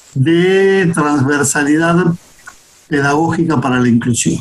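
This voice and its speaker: A man speaks at a very slow pace with lively intonation. Noticeable background noise runs underneath. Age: 60s. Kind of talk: interview conversation. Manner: hesitant, repeats words.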